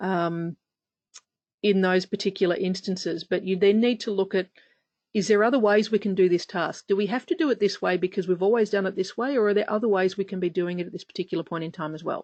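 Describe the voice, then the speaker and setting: At a very fast pace, a woman delivers her words with fairly even intonation and a medium pitch. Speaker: safety centre director hosting webinar. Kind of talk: webinar Q&A. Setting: online webinar.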